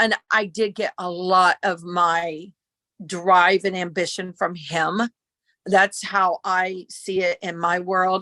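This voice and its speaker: A woman with an American accent speaks at a medium pitch in a bright, sharp tone. Her pace is very slow, and the sound is dry and close with no echo. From US Midwest, southern Ohio. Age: 50s. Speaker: costume designer. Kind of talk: interview. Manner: animated.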